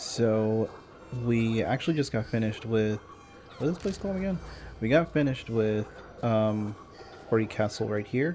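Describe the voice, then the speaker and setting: Music plays behind a soft-spoken man who talks at a moderate pace with ordinary pitch variation. He leaves long, frequent pauses. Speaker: gaming streamer. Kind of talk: gameplay commentary. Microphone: quiet, gain turned up high.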